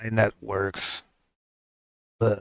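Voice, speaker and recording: This is a man putting on a character voice. His pitch sits fairly low. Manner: displeased.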